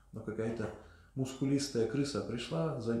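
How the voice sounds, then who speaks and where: A man talks at a moderate pace, his voice carrying audible room echo amid noticeable background noise. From former Soviet Union. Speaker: spiritual lecturer. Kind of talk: lecture. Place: church.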